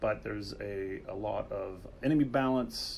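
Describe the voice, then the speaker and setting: Audible room echo surrounds the voice of a man. He speaks at a fairly slow pace. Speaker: game developer livestream host. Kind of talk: livestream chat. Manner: halting, many fillers.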